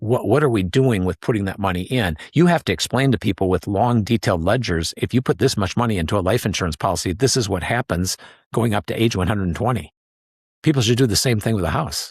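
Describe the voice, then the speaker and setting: In an American accent, a man talks at a very fast pace with lively intonation and a fairly low pitch, recorded very cleanly and dry and close with no echo against a silent background. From US Midwest, Wisconsin. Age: 60s. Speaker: reverse mortgage specialist. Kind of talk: podcast interview.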